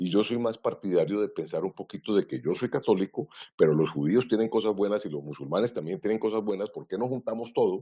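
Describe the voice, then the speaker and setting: Fairly low-pitched, a man rushes at a very fast pace with lively intonation and hardly any pauses. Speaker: IT governance consultant. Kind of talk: webinar presentation.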